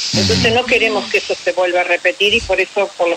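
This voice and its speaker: A woman talks at a fairly quick pace amid noticeable background noise. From Argentina, Paraná. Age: 60s. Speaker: retired military nurse and war veteran. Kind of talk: interview on radio.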